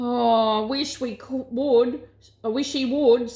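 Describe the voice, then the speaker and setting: A woman uses a gruff, put-on character voice at a high pitch. Her intonation is monotone and flat, and her pace is fairly slow. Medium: read story. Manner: gruff, stubborn.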